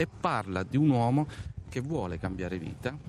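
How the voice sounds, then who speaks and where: An ordinary speaking voice moves at a moderate speed, its intonation lively. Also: man. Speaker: stage actor. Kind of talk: interview. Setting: outdoors in a town square.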